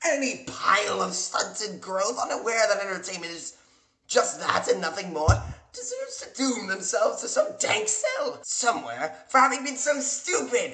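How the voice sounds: A man's high-pitched put-on character voice at a fairly slow pace, bright and sharp in tone, with big pitch swings and audible room echo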